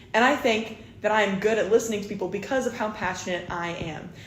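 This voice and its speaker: A woman with an American accent speaks at a fairly quick pace in an animated tone, her pitch medium, with audible room echo around her. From US South, Tennessee. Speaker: student election candidate. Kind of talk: interview. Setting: studio. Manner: loud.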